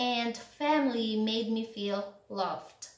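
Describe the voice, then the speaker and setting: Amid audible room echo, a woman with a non-native accent and a high pitch speaks very slowly with ordinary pitch variation. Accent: non-native English speaker. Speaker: English tutor. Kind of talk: English lesson to camera. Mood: acts out emotions. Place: home room.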